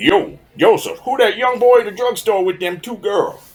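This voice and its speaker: A put-on character voice with a fairly high pitch speaks at a moderate pace. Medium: audio drama. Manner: casual slang, ungrammatical.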